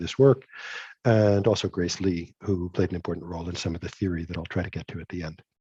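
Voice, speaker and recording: A man speaks very fast in a very deep, low, somewhat breathy voice. The background is quiet. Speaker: physics professor. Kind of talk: lecture. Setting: video call.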